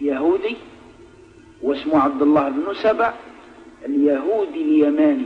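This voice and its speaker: With an Algerian accent and very wide pitch swings, the speaker talks at a fairly slow pace over music in the background. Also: man. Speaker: Islamic preacher. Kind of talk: religious lesson in a mosque. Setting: mosque.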